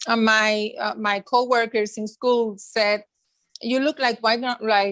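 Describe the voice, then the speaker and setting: A woman speaks at a fairly high pitch with a Spanish accent and ordinary pitch variation. Her pace is fairly slow. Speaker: school social worker. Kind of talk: interview. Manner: halting.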